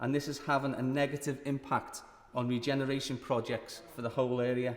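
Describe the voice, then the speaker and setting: Flat and monotone, a man with a Liverpool accent speaks at a medium pitch and a moderate pace. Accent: Liverpool (Scouse). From Liverpool, England. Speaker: member of parliament. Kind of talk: parliamentary maiden speech. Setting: parliament chamber. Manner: formal.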